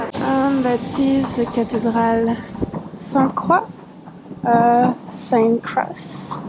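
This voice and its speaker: Very slowly and at very even loudness, a high-pitched woman speaks in a French accent with long, frequent pauses over noticeable background noise. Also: fairly even intonation. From France. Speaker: travel vlogger and photographer. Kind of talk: travel vlog narration.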